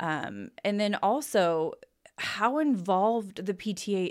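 This woman has an ordinary speaking voice at a medium pitch with lively intonation. The recording is very clean, with a silent background. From Boise, Idaho. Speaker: podcast co-host, parent. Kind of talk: casual chat.

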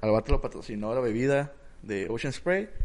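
A man speaks at a fairly quick pace with very wide pitch swings. Noticeable background noise is present. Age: 20s. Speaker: podcast co-host. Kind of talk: casual chat.

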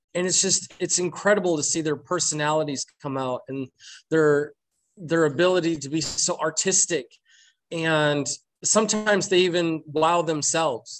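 Fairly high in pitch, this man has a normal speaking voice. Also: ordinary pitch variation, moderate pace. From Michigan, Flint. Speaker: pastry chef. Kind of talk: casual interview.

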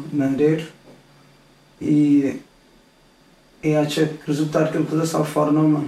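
With audible room echo, a man talks at a moderate pace in a fairly high pitch, somewhat breathy, his intonation monotone and flat, broken by long, frequent pauses. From Cape Verde, Praia on Santiago. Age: 30s. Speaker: guest sharing his illness survival story. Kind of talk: personal testimony in interview.

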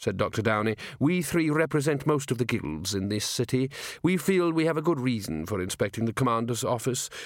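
Lively intonation marks this passage, read aloud in a natural voice.

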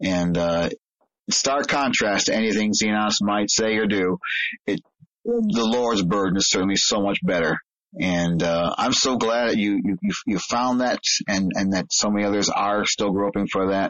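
Man's fairly low voice at a moderate pace, with very even loudness and fairly even intonation. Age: 60s. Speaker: pastor and podcast host. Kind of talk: interview. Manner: halting, repeats words.

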